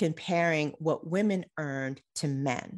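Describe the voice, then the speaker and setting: Over a quiet background, a woman with a husky, fairly low voice speaks at a moderate pace with ordinary pitch variation. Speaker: podcast host. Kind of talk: solo podcast monologue.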